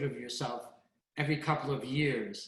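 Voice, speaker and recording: Room echo is audible as a man speaks at a moderate pace in a fairly high, somewhat breathy voice. His intonation is fairly even. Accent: American. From US Northeast (Brooklyn, New York). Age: 80s+. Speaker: photographer and collector. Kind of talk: conversational interview.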